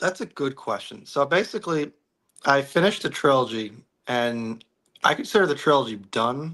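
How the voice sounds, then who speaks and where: With a New York accent, a man speaks at a moderate pace with a fairly high pitch and a bright, sharp tone. His intonation is lively, and the recording is very clean with a silent background. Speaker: novelist. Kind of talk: casual chat.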